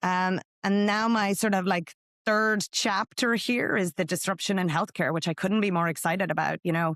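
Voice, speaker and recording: In a very clean recording with a silent background, a woman with an Irish accent speaks at a moderate pace and medium pitch, with fairly even intonation, very even loudness and a dry, close sound with no echo. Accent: Irish brogue. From Ireland. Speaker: tech company executive. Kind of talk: podcast interview.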